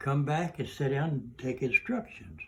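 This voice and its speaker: A man speaks with an Oklahoma accent at a fairly slow pace and a fairly high pitch. His voice is somewhat breathy, and his intonation is lively. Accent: Southern American (Oklahoma). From Oklahoma, USA. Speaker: WW2 tank commander veteran. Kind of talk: interview answer.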